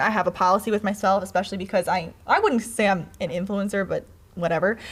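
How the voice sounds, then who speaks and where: This is a woman speaking at medium pitch. Her pitch varies in an ordinary way. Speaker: social media video creator. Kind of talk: casual chat. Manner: fast.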